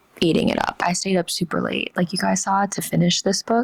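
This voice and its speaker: A woman whispers at a very fast pace with noticeable background noise. The sound is dry and close, with no echo. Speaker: book vlogger. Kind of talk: casual vlog review. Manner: whispering.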